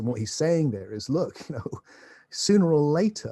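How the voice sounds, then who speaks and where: Somewhat breathy, a man speaks in a dark, mellow tone. His intonation is lively. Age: 60s. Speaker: author and spiritual philosopher. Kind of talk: podcast interview.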